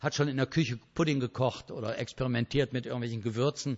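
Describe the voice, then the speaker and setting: A man talks with vocal fry. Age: 60s. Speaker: speaker on ADHD, church worker. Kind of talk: lecture. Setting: stage with audience.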